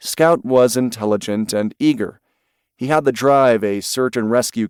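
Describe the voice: Plain reading aloud, the setting quiet behind it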